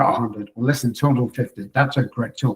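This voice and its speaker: A man with a medium pitch talks at a very fast pace, sounding somewhat breathy. His intonation stays fairly even. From England. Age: 60s. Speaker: psychologist. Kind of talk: interview.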